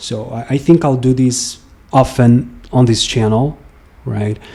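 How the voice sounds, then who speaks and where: With a Brazilian accent, a man speaks fairly slowly in a dark, mellow, medium-pitched voice with ordinary pitch variation. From Brazil, Brasília. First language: Portuguese. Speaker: musician and vlogger. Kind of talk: casual monologue. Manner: halting, with frequent fillers.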